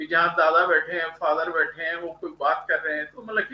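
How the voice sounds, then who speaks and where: At a moderate pace, a man talks in a high pitch. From India. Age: 70s. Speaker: graphologist and motivational writer. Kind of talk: interview.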